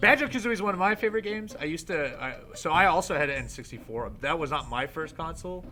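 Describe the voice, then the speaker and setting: The speech races along at a very fast pace with very wide pitch swings, and background noise is noticeable. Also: man, high pitch for a man, hardly any pauses. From Quebec. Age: 30s. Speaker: wrestler hosting gaming show. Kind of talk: casual chat.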